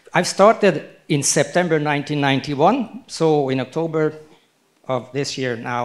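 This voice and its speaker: At a moderate pace, a man with a fairly high pitch speaks with ordinary pitch variation and big swings in loudness. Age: 60s. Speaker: company founder and president. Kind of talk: speech to an event audience via interpreter. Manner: halting, short phrases paused for interpreter.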